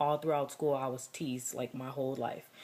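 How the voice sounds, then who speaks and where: The woman's pitch is very deep and low. Her intonation stays monotone and flat. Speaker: vlogger. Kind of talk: personal vlog. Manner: halting.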